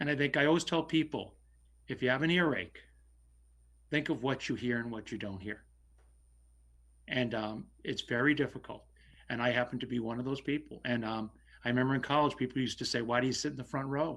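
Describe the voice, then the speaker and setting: A man with a medium-pitched voice speaks at a fairly quick pace, his ordinary pitch variation broken by long, frequent pauses, on a very clean recording with a silent background. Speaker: select board member, local election candidate. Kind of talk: candidates forum answer. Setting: virtual forum. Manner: loud; halting.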